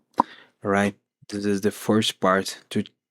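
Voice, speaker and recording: A man speaks very slowly in a fairly low pitch. His intonation is monotone and flat, and the sound is dry and close with no echo. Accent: non-native. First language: not English. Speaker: podcast host reading a book aloud. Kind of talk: reading aloud. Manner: halting.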